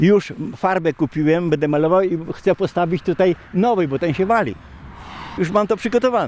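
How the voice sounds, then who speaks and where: Noticeable background noise is present throughout. Over it, a man talks in a high pitch. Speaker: local farmer. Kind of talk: casual chat.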